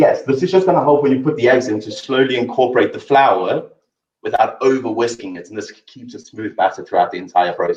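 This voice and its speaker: Speaking fairly quickly with a South African accent, a man lets his loudness swing widely. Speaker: chef. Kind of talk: cooking demonstration.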